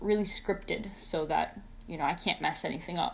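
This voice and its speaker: A woman speaks at a moderate pace. She is mumbling. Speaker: video creator, fursuit and mask maker. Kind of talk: casual vlog monologue. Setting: talking to camera at home, wearing a mask. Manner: stutters and mumbles, says uh a lot; unscripted first take, unedited.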